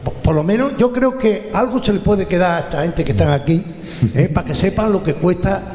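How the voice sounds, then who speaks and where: Lively intonation carries through audible room echo and noticeable background noise. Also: man, high pitch for a man. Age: 70s. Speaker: retired businessman, audience member. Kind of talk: audience question and anecdote at panel event. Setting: event hall with audience, handheld mic.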